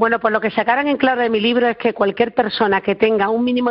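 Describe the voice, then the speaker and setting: A woman with a normal speaking voice talks at a fairly quick pace. Her pitch sits fairly high, and her intonation is fairly even. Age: 40s. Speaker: flamenco expert and author. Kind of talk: interview. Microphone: connection problems.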